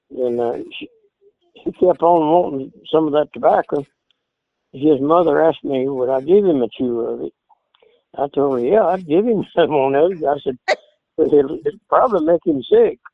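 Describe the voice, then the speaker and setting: A man in an Appalachian accent, fairly high in pitch, at a moderate pace with ordinary pitch variation and long, frequent pauses. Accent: Southern Appalachian US. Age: 80s+. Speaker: old-time banjo player. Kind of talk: interview. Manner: halting.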